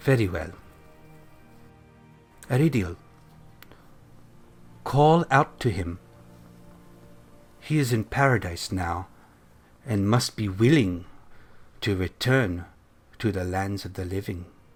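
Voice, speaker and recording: Music plays in the background as a man performs a put-on character voice at a fairly low pitch. He goes at a fairly slow pace with long, frequent pauses. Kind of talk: divine pronouncement. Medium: actual play. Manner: calm, measured, benevolent.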